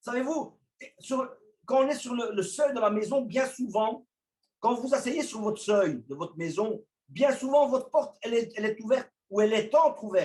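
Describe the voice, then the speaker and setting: A man speaks loudly at an extremely high pitch. His pace is moderate and his pitch varies in an ordinary way. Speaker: preacher. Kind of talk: sermon.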